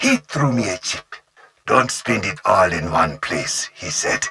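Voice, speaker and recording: A man's put-on character voice at medium pitch and a fairly slow pace. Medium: video game. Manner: measured, calculating.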